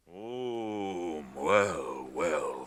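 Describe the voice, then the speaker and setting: A man speaks in a put-on character voice. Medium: audio drama. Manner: slow, unhurried, deliberate.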